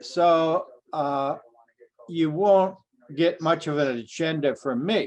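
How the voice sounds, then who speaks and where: A man with an American accent speaks at a very slow pace. Long, frequent pauses break up his speech. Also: fairly high pitch for a man, ordinary pitch variation. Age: 70s. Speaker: historian of science, professor emeritus. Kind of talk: interview.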